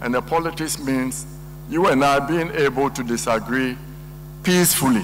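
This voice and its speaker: A man is speaking. Noticeable background noise and audible room echo surround his voice. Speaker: economist. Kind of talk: lecture.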